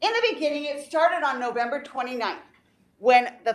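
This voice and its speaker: A woman speaks with lively intonation. Room echo is audible around her. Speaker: teacher. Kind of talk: presentation at a board meeting. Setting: board meeting. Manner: loud.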